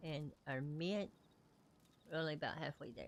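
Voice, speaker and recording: Very deep, low female voice in a Southern US accent, moderate pace, fairly even intonation. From US South. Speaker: video game streamer. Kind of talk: live gameplay stream commentary. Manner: casual, chatty.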